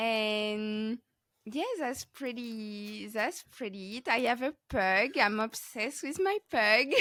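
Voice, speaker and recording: In a French accent, a woman speaks at a very slow pace. Her fairly high voice is bright and sharp, with ordinary pitch variation. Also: dry, close sound with no echo. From France. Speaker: podcast host, crochet artist. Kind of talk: casual interview chat. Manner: halting, many fillers.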